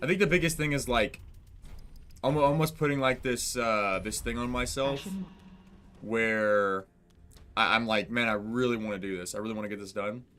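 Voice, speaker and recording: Music plays in the background as a man speaks at a moderate pace in a medium pitch with ordinary pitch variation. He takes long, frequent pauses. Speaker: gaming streamer. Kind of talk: live gameplay stream chat. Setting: live stream with chat. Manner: casual, halting with fillers.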